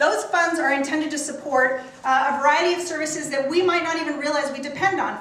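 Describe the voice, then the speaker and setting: A woman talks at a fairly quick pace in a high voice with ordinary pitch variation, with audible room echo and noticeable background noise. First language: not English. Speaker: local politician and candidate for county office. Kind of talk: campaign speech at a community meeting. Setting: town council meeting with audience.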